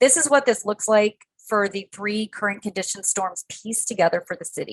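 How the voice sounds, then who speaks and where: A woman with a plain, everyday voice talks at a fairly quick pace, her fairly high pitch showing ordinary variation, big swings in loudness, and a dry, close sound with no echo. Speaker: conservation panelist. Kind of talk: webinar presentation.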